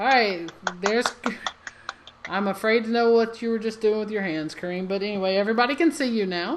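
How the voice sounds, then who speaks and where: At a fairly quick pace broken by long, frequent pauses, a woman with an American accent speaks with ordinary pitch variation over noticeable background noise. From Alabama. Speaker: comedy show host. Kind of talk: live online comedy show hosting. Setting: live online stream. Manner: animated.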